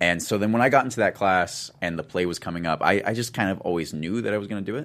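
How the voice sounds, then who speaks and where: Talking at a very fast pace with an American accent, a man is heard on a very clean recording with a silent background. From US Pacific Northwest, Olympia/Tumwater, Washington. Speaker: actor. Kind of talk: casual interview. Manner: hesitant, many fillers and restarts.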